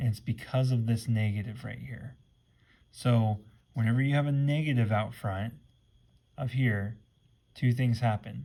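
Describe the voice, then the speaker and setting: Somewhat breathy and dark, mellow in tone, a man's voice sits at a medium pitch with fairly even intonation. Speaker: math teacher. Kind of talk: tutorial. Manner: fast.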